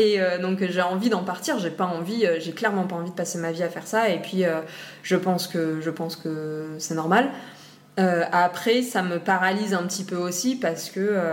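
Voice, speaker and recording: A woman's medium pitch at a moderate pace, with fairly even intonation and audible room echo. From Réunion Island. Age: 30s. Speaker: marine biology graduate. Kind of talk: interview. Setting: at her home. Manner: hesitant, many fillers.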